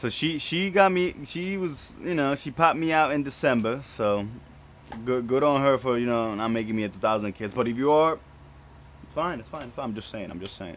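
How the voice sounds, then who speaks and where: Lively intonation marks this man's medium-pitched voice. He talks at a fairly quick pace with big swings in loudness. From Dominican Republic, moved to US as child. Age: 20s. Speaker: podcast host. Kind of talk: casual solo podcast monologue. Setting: shed studio. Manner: casual, rambling with repetitions.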